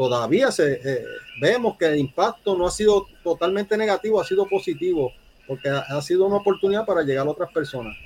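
The speech is very fast with lively intonation, and noticeable background noise runs underneath. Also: man, high pitch for a man. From Puerto Rico. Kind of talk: interview.

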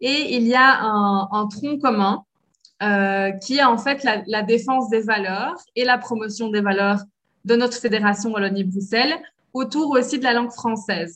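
In a normal speaking voice, a woman talks fairly slowly at a fairly high pitch, with ordinary pitch variation. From Belgium. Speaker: French language lecturer and cultural liaison officer. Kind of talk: interview.

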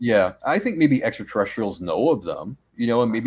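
A man with an American accent and a plain, everyday voice talks at a medium pitch and a moderate pace. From Massachusetts. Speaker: cryptid researcher and podcaster. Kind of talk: casual chat.

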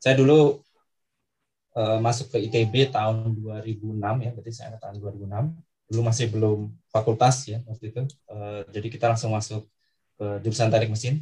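A man speaks in a dark, mellow tone, somewhat breathy, at medium pitch and a moderate pace. His intonation is fairly even, while his loudness swings a lot. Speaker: university lecturer. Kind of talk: interview. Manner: halting.

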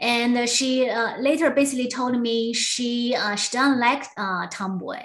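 With a Chinese accent, a woman talks at a fairly slow pace and a high pitch, keeping her intonation fairly even and hardly pausing. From southwest China. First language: Mandarin Chinese. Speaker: former attorney and community organizer. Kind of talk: interview storytelling. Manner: halting, many fillers.

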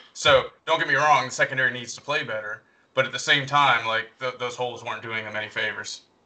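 Man with a Southern US accent and medium pitch at a very fast pace, fairly even intonation and big swings in loudness. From North Carolina. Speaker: podcast co-host. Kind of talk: casual chat.

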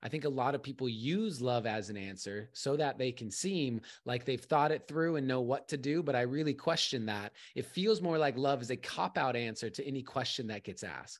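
A man with an American accent talks in a normal speaking voice at medium pitch and a moderate pace, with hardly any pauses. His intonation is lively, and the background is quiet. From California and Arizona, US. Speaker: poet and coach. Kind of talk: casual interview.

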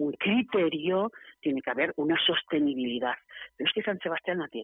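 A woman talks with a fairly low pitch. Her pitch swings very widely. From Barcelona, Spain. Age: 50s. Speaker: city tourism councillor. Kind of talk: radio interview. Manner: animated.

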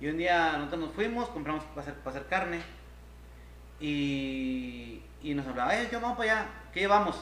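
With audible room echo and noticeable background noise, a man speaks at a fairly quick pace with lively intonation. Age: 40s. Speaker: podcast co-host. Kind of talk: casual chat. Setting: live stream.

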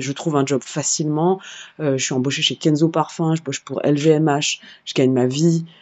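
This is a woman with a very deep, low pitch. She speaks at a moderate pace. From Paris suburbs, France. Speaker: singer and activist. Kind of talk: interview conversation.

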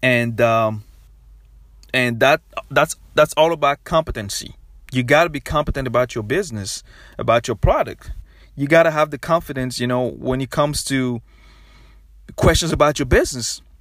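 An energetic man with a West African accent speaks at medium pitch and a moderate pace, with ordinary pitch variation and long, frequent pauses. The recording is very clean with a silent background, dry and close with no echo. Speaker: podcast host. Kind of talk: motivational solo podcast talk. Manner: repetitive, energetic.

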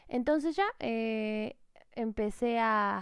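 This woman speaks with a Mexican accent. The recording is very clean, with a silent background. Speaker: entrepreneur podcast host. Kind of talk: solo podcast monologue.

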